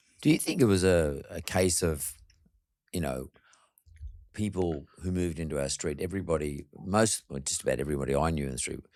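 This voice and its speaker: In a very clean recording with a silent background, a man with an Australian accent speaks at a fairly quick pace in a very deep, low voice with ordinary pitch variation. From Australia, Sydney suburb. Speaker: podcast host. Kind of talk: interview.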